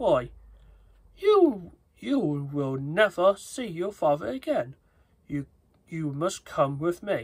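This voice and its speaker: In a put-on character voice, a man with a high pitch speaks at a very slow pace, broken by long, frequent pauses. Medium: read story.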